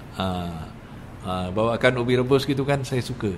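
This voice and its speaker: Over noticeable background noise and audible room echo, a man talks with very wide pitch swings. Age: 60s. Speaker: religious teacher. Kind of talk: religious lecture. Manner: animated.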